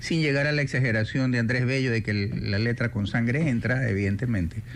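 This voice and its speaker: A plain, everyday voice talks fairly quickly, its pitch shifting by usual amounts. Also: man. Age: 60s. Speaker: radio host. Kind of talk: radio interview. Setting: radio studio.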